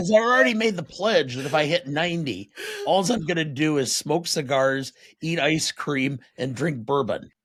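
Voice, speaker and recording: A man speaks at a moderate pace with fairly high pitch. He has a plain, everyday voice and lively intonation. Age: 60s. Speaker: podcast co-host. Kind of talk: casual chat.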